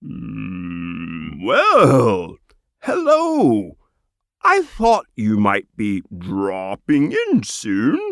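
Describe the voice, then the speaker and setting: A man puts on a croaky character voice. He speaks at a very slow pace. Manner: happy, welcoming.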